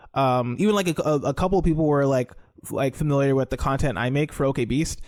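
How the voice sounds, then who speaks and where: Here a man talks at a very fast pace in an American accent. His fairly high pitch varies in an ordinary way, and his loudness stays very even. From US Pacific Northwest, Seattle. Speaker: podcaster, guest on comics podcast. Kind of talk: casual chat. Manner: halting, many fillers and restarts.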